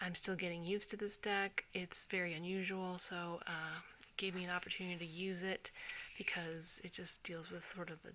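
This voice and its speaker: This soft-spoken voice moves at a moderate pace. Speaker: tarot reader. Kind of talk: tarot reading video. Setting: at home at night. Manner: halting.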